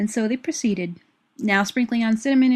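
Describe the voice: A quiet background behind plain reading aloud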